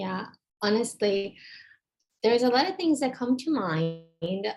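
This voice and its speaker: Speaking fairly slowly, a woman has a Brazilian accent. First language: Portuguese. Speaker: medical student. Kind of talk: online case discussion. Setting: video call. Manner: halting.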